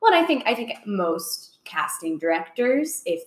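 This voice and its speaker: With an American accent, a woman's voice swings very widely in pitch. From Orlando, Florida. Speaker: podcast host. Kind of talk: casual interview chat. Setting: video podcast.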